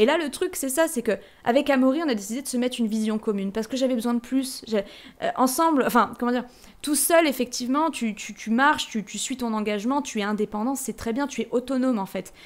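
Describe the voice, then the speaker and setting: A woman speaks at a very fast pace and a high pitch. Her tone is animated, with ordinary pitch variation. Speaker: podcaster. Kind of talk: personal reflection monologue.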